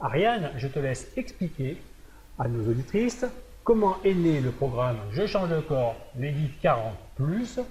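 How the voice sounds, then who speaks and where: A man's somewhat breathy voice, dark and mellow in tone, fairly high in pitch with very wide pitch swings, at a fairly slow pace. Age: 60s. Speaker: fitness coach. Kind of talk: presentation video.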